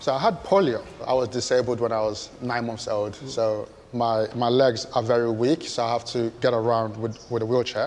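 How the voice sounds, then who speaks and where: A man speaks at a moderate pace with hardly any pauses, his medium-pitched voice keeping a fairly even intonation over noticeable background noise. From Nigeria. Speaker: Paralympic rower. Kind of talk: interview. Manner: repeats words.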